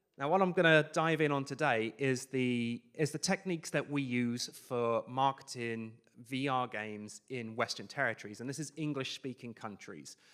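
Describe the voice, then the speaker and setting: This man talks at a medium pitch with ordinary pitch variation and hardly any pauses. The recording is very clean, with a silent background. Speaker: VR marketing company founder, conference speaker. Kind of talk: conference talk. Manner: fast.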